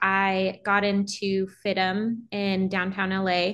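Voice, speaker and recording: In a quiet setting, a woman talks with an American accent. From US West Coast, Los Angeles. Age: 30s. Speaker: photographer. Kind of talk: casual interview.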